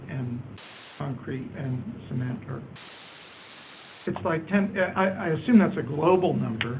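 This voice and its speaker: A man's fairly high pitch with lively intonation, a fairly slow pace and audible room echo. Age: 60s. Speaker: audience member asking a question, government economist. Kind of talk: Q&A question at a panel event.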